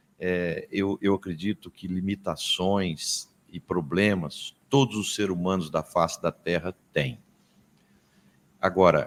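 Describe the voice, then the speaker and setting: A man talks very slowly in a very deep, low voice. The sound is dry and close with no echo, on a very clean recording with a silent background. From Minas Gerais, Brazil. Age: 60s. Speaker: business consultant. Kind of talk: podcast interview. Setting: agricultural fair.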